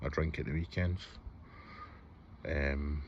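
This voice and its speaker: A man speaks with a Scottish accent, his voice somewhat breathy. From Scotland, Hamilton near Glasgow. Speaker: vlogger. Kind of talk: personal vlog, confessional. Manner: hesitant, with fillers.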